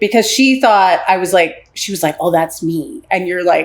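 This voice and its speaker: A woman's animated tone in a Philadelphia accent. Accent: Philadelphia American. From Philadelphia, US. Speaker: relationship and intimacy coach. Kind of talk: podcast interview.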